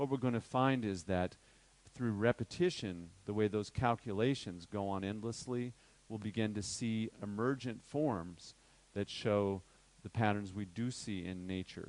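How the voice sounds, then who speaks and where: A man talks at a fairly slow pace in a plain, everyday voice, fairly low in pitch with ordinary pitch variation. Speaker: workshop teacher on crystal healing. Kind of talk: lecture.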